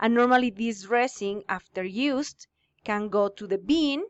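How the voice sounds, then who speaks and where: A woman with a Spanish accent, fairly high in pitch, with ordinary pitch variation and a moderate pace. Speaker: English teacher. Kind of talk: lecture. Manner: halting.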